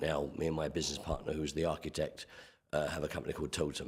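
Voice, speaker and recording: Delivered at a very fast pace, the speech carries an English accent and a monotone, flat intonation. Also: man. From England. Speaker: construction manager. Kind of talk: public meeting testimony. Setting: committee meeting.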